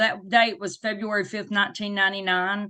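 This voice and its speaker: A woman with a Southern US accent speaks at a moderate pace in a medium pitch. Her tone is bright and sharp, and the background is quiet. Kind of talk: interview. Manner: animated.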